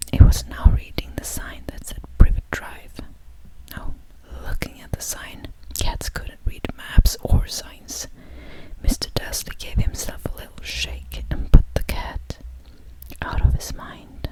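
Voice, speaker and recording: A woman whispers at a fairly slow pace, with long, frequent pauses and big swings in loudness. Noticeable background noise is present. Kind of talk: whispered audiobook-style reading of a novel. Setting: studio. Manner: slow, hushed, with occasional restarts.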